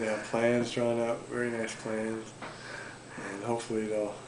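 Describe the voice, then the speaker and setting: Noticeable background noise sits behind a man speaking at a moderate pace in a monotone, flat intonation. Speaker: handyman and remodeling contractor. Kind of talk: interview answer. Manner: soft-spoken. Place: home room. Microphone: camera far.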